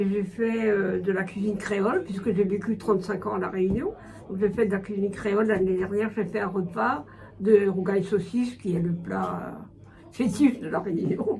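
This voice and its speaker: A woman speaks with fairly even intonation. Room echo is audible, and background noise is noticeable. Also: medium pitch for a woman, moderate pace. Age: 70s. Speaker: retired volunteer tutor. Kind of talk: interview testimony. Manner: hesitant, many fillers.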